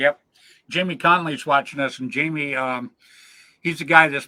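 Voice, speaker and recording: Bright and sharp in tone, a man's fairly high voice moves with ordinary pitch variation. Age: 70s. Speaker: paintball podcast host. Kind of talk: casual chat. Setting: live stream video call.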